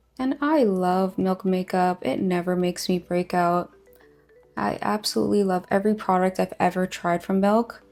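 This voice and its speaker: With music in the background, a woman speaks in an upbeat tone at a moderate pace and medium pitch, with ordinary pitch variation and very even loudness. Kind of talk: makeup tutorial talk to camera. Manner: casual, upbeat.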